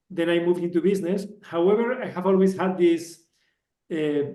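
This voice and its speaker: A man speaks in a high pitch at a fairly quick pace. His intonation is fairly even, and the room echo is audible. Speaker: telecom engineer turned businessman, meetup speaker. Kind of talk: technical talk. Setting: meetup with live and online audience. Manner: halting, with many fillers.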